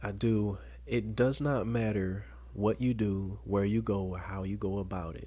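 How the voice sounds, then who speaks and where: Very deep, low-pitched male voice, somewhat breathy, with very wide pitch swings at a fairly slow pace. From US South, Dothan, Alabama. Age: 20s. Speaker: college student and former ceremonial guardsman. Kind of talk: personal testimony in interview.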